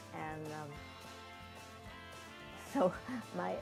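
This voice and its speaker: A woman speaks with music in the background. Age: 80s+. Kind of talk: personal memoir storytelling.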